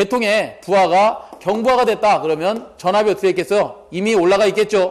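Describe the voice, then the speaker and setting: In a very clean recording with a silent background, a man talks at a fairly quick pace in a high pitch. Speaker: exam prep lecturer. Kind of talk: lecture. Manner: fast; rhetorical questions, conversational.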